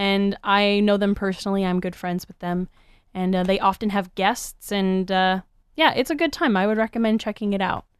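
Here a woman uses an ordinary speaking voice at medium pitch and a moderate pace. Behind her, the background is quiet. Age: 20s. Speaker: podcast co-host. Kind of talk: casual chat. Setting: same room.

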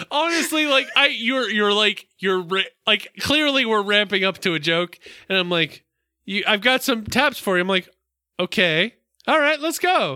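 Projecting a raised voice at very even loudness, a man with an American accent speaks at a high pitch and moderate pace with very wide pitch swings, in a dry, close sound with no echo. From US South. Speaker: podcast co-host. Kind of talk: casual chat.

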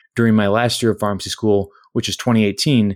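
A man speaks in an ordinary speaking voice at a medium pitch with an American accent, recorded with a dry, close sound and no echo. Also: very clean recording, silent background. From Minnesota, US Midwest. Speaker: pharmacist and software entrepreneur. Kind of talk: interview. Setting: podcast recording.

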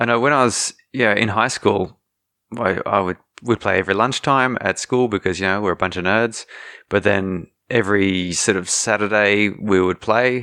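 Bright and sharp in tone, the voice moves at a moderate pace with fairly even intonation, in a dry, close sound with no echo. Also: man, fairly low pitch for a man. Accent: Australian. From Australia. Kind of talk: casual chat.

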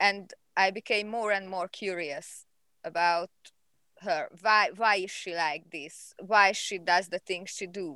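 A woman with a Hungarian accent at a medium pitch, very slow pace and fairly even intonation, on a very clean recording with a silent background. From Hungary. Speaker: animal behavior researcher. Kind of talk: interview. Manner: halting.

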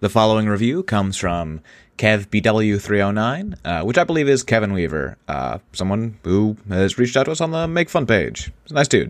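In an animated tone, a man with a fairly low pitch makes very wide pitch swings and hardly any pauses. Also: moderate pace, quiet background. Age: 30s. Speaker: podcast host. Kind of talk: casual comedic chat. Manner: animated, joking.

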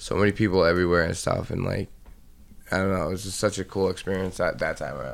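A man with a very deep, low pitch and vocal fry talks very fast with fairly even intonation. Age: 30s. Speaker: friend and former bandmate. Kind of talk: casual chat among friends.

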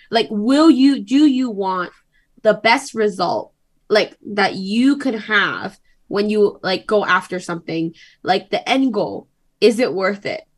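A woman speaks at a very slow pace with lively intonation. Her fairly high voice is somewhat breathy. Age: 20s. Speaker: podcast guest. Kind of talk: casual chat.

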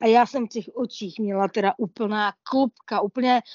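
A woman with an unremarkable speaking voice, fairly high pitch, fairly slow pace and ordinary pitch variation. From Olomouc region, Moravia. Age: 40s. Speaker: blind traveller. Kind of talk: interview. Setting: online talk.

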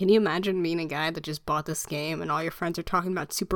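A woman at a very fast pace, on a very clean recording with a silent background. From Chinese heritage. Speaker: podcast co-host. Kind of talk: casual chat.

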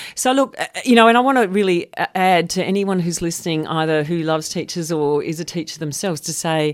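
Over a very clean recording with a silent background, a woman speaks in an Australian accent. Her fairly low voice has lively intonation and a fairly quick pace. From Australia, Melbourne. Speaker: professor of educational leadership. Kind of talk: radio interview.

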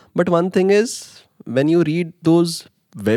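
In an Indian accent, a man talks at a moderate pace, the sound dry and close with no echo. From India, Mumbai. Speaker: international master's student. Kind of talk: casual interview.

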